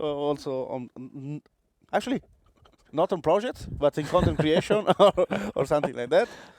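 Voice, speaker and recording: Lively intonation and a fairly quick pace mark this speech in an Italian accent, recorded dry and close with no echo. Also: man. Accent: Italian accent, clear. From Italy. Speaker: tech lead, webinar co-presenter. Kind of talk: webinar presentation.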